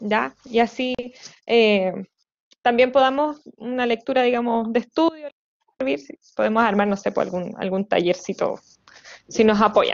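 Against a quiet background, a woman with a Chilean accent talks at a fairly slow pace, leaving long, frequent pauses, with ordinary pitch variation. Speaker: community coordinator; event host. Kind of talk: online meeting moderation. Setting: video call. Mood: warm, friendly. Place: home room. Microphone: earbuds.

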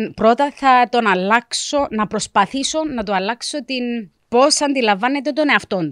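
Using lively intonation, a woman talks at a high pitch and a fairly slow pace, the sound dry with no echo. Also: quiet background. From South Africa, Cypriot parents from Varosha; moved to Cyprus 1989; South Africa. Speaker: career guidance counselor; guest. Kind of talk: casual interview chat. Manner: mixes Greek and English. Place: studio. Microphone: studio mic.

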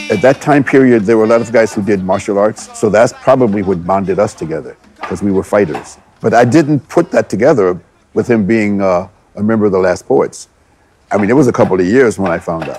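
A man with a fairly low pitch talks at a fairly quick pace with ordinary pitch variation, the sound dry with no echo and light background noise. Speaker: martial arts teacher. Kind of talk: interview answer. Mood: reflective, admiring. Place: gym.

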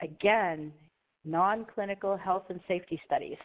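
A woman uses a normal speaking voice with ordinary pitch variation, keeping a moderate pace. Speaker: compliance consultant, presenter. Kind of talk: webinar presentation.

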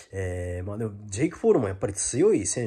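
This man's voice is somewhat breathy. His pace is fairly quick. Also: quiet background. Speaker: YouTuber giving boxing commentary. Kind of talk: casual vlog monologue; casual vlog chat. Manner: hesitant, many fillers. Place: home room. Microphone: phone near.

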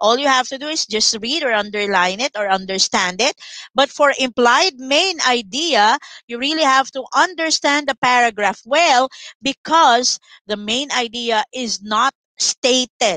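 In a dry recording with no echo and a quiet background, a woman with a high pitch and a bright, sharp tone speaks at a fairly slow pace with lively intonation. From Philippines. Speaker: online English tutor for grade 7. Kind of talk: online lesson tutorial. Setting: live online class with screen sharing. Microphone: headset.

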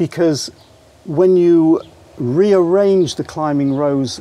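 The tone is dark and mellow. Pitch varies in an ordinary way. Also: man.

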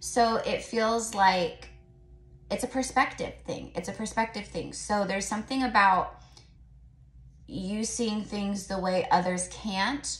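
A woman speaks at a fairly slow pace. Audible room echo follows her voice. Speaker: tarot reader. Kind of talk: casual tarot reading vlog. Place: home room. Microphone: phone near.

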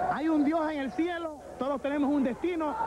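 With ordinary pitch variation, the man's speech runs at a fairly quick pace. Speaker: wrestling commentator. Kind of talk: live wrestling commentary, 1985 announcer style.

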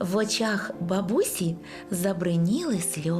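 Someone does plain reading aloud. Their pitch shows ordinary variation.

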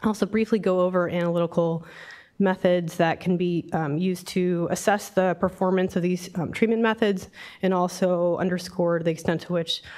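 A woman speaks at a moderate pace with a fairly low pitch, fairly even intonation and few pauses. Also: slightly mellow tone.

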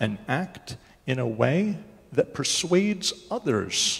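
A somewhat breathy man. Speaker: preacher. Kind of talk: sermon. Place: church.

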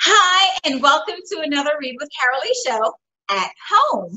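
Against a quiet background, a woman talks at a fairly slow pace with very wide pitch swings. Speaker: show host. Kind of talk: show host introduction. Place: home room. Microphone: webcam.

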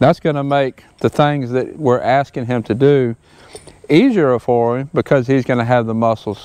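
This voice has a dark, mellow tone, ordinary pitch variation and a moderate pace. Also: man, dry sound with no echo. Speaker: horse trainer. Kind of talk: tutorial. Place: open country. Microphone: lapel.

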